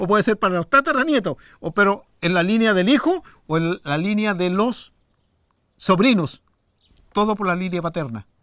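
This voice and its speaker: On a very clean recording with a silent background, a man speaks in a high pitch with lively intonation, the sound dry and close with no echo. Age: 60s. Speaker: Mapuche silversmith. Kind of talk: interview testimony.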